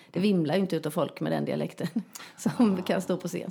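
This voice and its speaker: Very fast and with vocal fry, a woman speaks at a fairly low pitch in a dark, mellow tone. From Västergötland, Sweden (rural, near Småland/Halland border). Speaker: comedian and actress. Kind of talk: casual chat. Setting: at guest's home.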